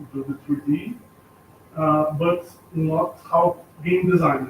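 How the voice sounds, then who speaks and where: A man with a Brazilian accent, fairly high pitch and fairly even intonation at a very slow pace, with noticeable background noise. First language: Portuguese. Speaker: artist and art teacher. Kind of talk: self-introduction at meeting. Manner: halting.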